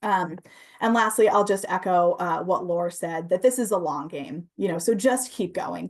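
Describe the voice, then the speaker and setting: A woman's medium-pitched voice with ordinary pitch variation against a quiet background. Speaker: housing advocate. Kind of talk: presentation. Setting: video call. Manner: fast.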